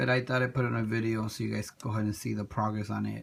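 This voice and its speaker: A soft-spoken man talks at a medium pitch with fairly even intonation. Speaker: toy diorama hobbyist. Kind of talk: tutorial. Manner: halting.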